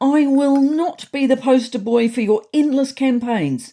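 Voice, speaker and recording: A put-on character voice, female-sounding, high-pitched and growling, at a moderate pace. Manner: growling through clenched teeth.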